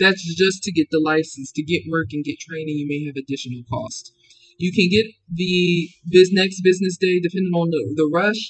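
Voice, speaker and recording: This man's voice is high in pitch. His pitch varies in an ordinary way. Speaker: claims adjuster giving career advice. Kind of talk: tutorial. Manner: fast; casual, halting with restarts.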